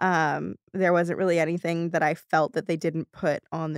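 Recorded very cleanly against a silent background, a woman speaks in a normal speaking voice at a moderate pace. Her pitch is fairly low, her intonation fairly even, and the sound is dry and close with no echo. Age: 20s. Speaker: writer and director, podcast creator. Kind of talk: casual interview.

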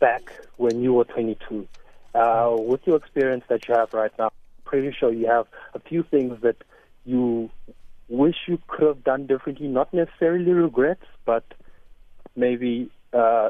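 A man talks with ordinary pitch variation and long, frequent pauses. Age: 20s. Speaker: caller, recent graduate. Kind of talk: call-in question. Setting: phone call.

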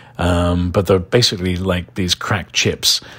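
A man with a very deep, low, somewhat breathy voice speaks fairly slowly in an English accent. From London, England (Irish family, some childhood in Ireland). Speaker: podcast host, local events and bar recommendations. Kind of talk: casual recommendation talk. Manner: conversational with frequent fillers (uh, um).

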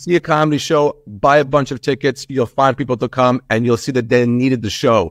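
With a New York accent, the speaker goes at a fairly quick pace with hardly any pauses and ordinary pitch variation, the sound dry and close with no echo. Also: man, medium pitch for a man. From Long Island, New York (from age seven; born in Israel). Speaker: comedian. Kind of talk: interview. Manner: animated.

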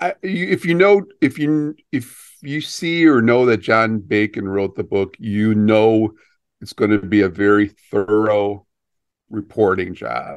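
Over a quiet background, a man with a fairly low pitch speaks at a fairly slow pace with lively intonation. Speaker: sports reporter. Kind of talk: casual sports chat and interview. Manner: conversational, hesitant with fillers.

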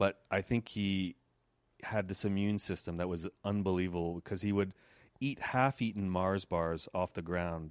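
A man's very deep, low voice with a Quebec accent at a moderate pace, on a very clean recording with a silent background and a dry, close sound with no echo. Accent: Canadian French-accented English. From Quebec, Canada. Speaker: animator. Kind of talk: casual chat.

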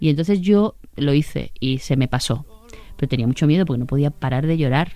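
A woman's dark, mellow tone sits at a very deep, low pitch, with ordinary pitch variation at a moderate pace. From Andalusia, Sanlúcar de Barrameda. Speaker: TV presenter. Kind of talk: casual interview chat.

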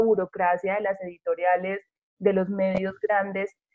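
A woman talks at a moderate pace and medium pitch in a monotone with flat intonation. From provincial Colombia. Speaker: radio host. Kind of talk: radio interview.

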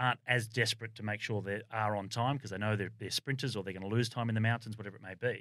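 A man with an Australian accent talks at a very fast pace, his pitch medium and his intonation fairly even. The recording is very clean, with a silent background. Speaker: former Olympic cyclist and cycling commentator. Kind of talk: casual chat. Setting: studio.

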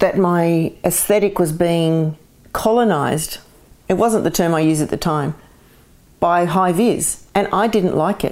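A woman with an Australian accent, fairly low-pitched and fairly slow, her intonation fairly even and her loudness very even. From Australia, Sydney area (born in Glasgow). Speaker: artist. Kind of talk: interview conversation. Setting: at home.

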